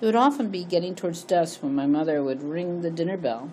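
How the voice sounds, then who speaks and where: In an American accent, a woman with a fairly low pitch speaks amid audible room echo. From Connecticut, US. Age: 60s. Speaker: memoir storyteller. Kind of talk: reading aloud personal memoir.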